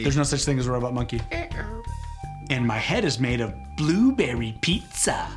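A man performs a put-on character voice at a medium pitch and a fairly quick pace. Loud music plays in the background. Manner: silly, then protesting.

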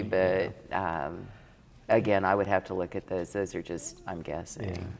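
Over light background noise, a woman with a Midwestern American accent speaks at a fairly slow pace in a very deep, low pitch with ordinary pitch variation. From Saline County, Kansas. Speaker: former state legislator, tax accountant and rancher. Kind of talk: interview answer. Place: hall.

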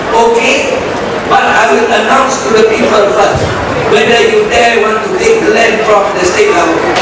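Loud background noise fills the clip. Audible room echo is also present. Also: man. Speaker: politician giving speech. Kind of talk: political speech. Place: tent.

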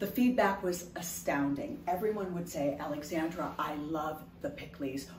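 The speech moves at a moderate pace with ordinary pitch variation, set against light background noise and audible room echo. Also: woman. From Haitian household, US. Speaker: food entrepreneur. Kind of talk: sales pitch. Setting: home kitchen. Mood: upbeat, enthusiastic.

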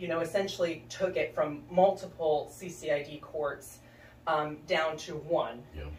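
A woman with a fairly low pitch speaks at a very slow pace and fairly even intonation, with audible room echo and light background noise. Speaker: guest. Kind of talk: interview answer. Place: studio.

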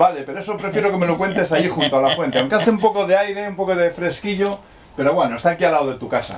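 Light background noise sits behind a man who talks at a very fast pace in a high voice with ordinary pitch variation. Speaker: interviewer / reporter. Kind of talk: interview questions.

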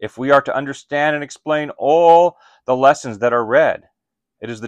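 A man speaks at a moderate pace with ordinary pitch variation. The background is quiet and the sound is dry with no echo. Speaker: pastor or Bible teacher. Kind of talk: sermon-like teaching talk. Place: home room.

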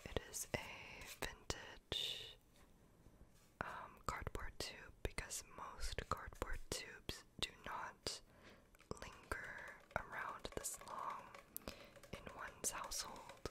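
Whispering and soft-spoken, the voice moves at a very slow pace with long, frequent pauses over light background noise. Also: woman. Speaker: ASMR creator. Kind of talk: soft-spoken ASMR chat. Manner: soft close-mic whisper. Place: home room. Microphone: studio mic.

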